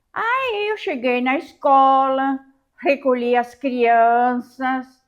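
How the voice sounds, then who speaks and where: A woman's high-pitched voice at a very slow pace. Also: quiet background. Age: 80s+. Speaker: retired teacher, eyewitness. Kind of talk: testimony.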